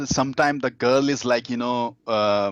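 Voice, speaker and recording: Against a quiet background with a dry, close sound and no echo, a man with an Indian accent speaks at a moderate pace and medium pitch with ordinary pitch variation. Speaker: dating coach. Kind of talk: interview. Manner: halting, many fillers.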